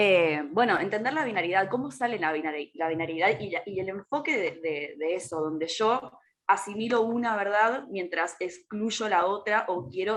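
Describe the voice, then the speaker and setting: A normal speaking voice from a woman, medium pitch, lively intonation, fairly slow pace. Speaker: astrologer and ecofeminist activist. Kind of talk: casual chat.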